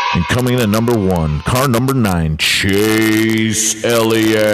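A man performs a put-on character voice, croaky and raspy, at medium pitch and a fairly slow pace. Loud background noise fills the recording. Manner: imitation, playful.

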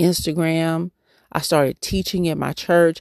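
In an animated tone, a woman speaks at a fairly low pitch. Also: dry, close sound with no echo, very clean recording, silent background. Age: 40s. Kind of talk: sermon.

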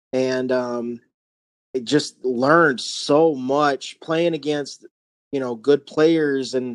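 The recording is dry and close with no echo, carrying a man's fairly high-pitched voice with fairly even intonation. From North Carolina. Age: 30s. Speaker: competitive gamer, army veteran. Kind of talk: interview. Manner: halting, many repetitions.

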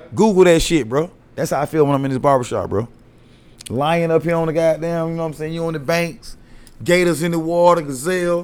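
In a fairly high pitch, a man delivers his words at a fairly quick pace. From US South, Atlanta, Georgia. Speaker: barber. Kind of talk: casual chat.

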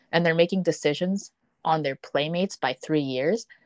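Recorded dry and close with no echo against a quiet background, a woman speaks in a normal speaking voice with a fairly low pitch and ordinary pitch variation. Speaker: nonprofit founder. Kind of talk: interview conversation.

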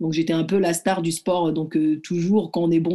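A woman's fairly low, dark, mellow voice at a moderate pace, on a very clean recording with a silent background. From Morocco. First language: Arabic (speaking French). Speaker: judoka. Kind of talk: interview. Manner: hesitant.

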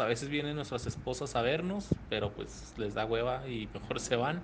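With noticeable background noise and audible room echo, a man speaks at a medium pitch with lively intonation. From El Paso, Texas border region. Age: 30s. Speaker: actor and podcaster. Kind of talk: recorded interview answers.

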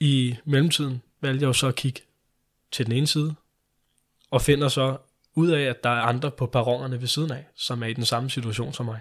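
At a moderate pace, a man with a medium pitch talks in fairly even intonation, leaving long, frequent pauses. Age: 20s. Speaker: liver transplant recipient. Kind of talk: interview.

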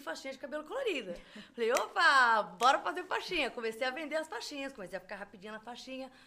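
A woman's raised, projected voice, high-pitched with a bright, sharp tone, at a very fast pace with big swings in loudness. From Brazil. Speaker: crochet designer and artisan. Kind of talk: casual chat.

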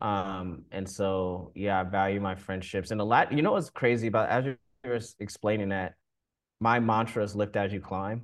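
An unremarkable speaking voice from a man, fairly low-pitched, at a moderate pace with fairly even intonation, over a quiet background. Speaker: creative. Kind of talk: casual chat.

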